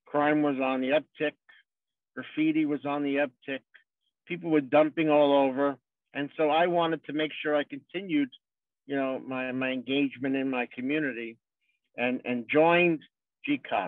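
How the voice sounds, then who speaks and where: With a New York accent, a man speaks at a moderate pace in a fairly high pitch. His intonation is fairly even, broken by long, frequent pauses. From New York City, Brooklyn/Queens. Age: 60s. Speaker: politician. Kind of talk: speech. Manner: informal, halting with repetitions.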